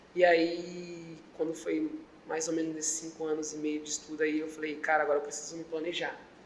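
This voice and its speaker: A man talks at a fairly quick pace with a fairly high pitch and monotone, flat intonation. Noticeable background noise and audible room echo come through. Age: 20s. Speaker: public security agent. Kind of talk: interview.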